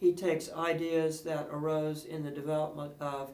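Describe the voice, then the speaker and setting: Speaking at a fairly slow pace with a Southern US accent, a man is heard over noticeable background noise and audible room echo. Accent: southern pronunciation. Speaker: music professor. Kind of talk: lecture.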